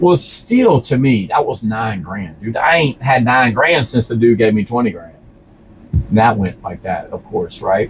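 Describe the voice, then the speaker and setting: With music in the background, the speaker talks at a fairly slow pace in a Louisiana accent. The tone is animated and the intonation lively. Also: man, medium pitch for a man. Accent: Louisiana Southern US. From Louisiana, Baton Rouge. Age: 40s. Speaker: business owner. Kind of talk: casual interview chat. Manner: animated storytelling.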